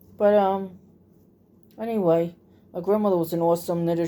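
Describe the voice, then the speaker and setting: A woman's medium-pitched voice, dark and mellow, holds a flat monotone at a moderate pace. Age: 50s. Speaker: crafter and channel host. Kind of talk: casual chat while crocheting. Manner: halting, many fillers.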